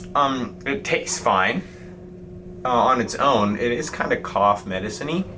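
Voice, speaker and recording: Amid noticeable background noise, a man at medium pitch talks at a moderate pace with very wide pitch swings. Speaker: magician vlogger. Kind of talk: travel vlog. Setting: on a cruise ship.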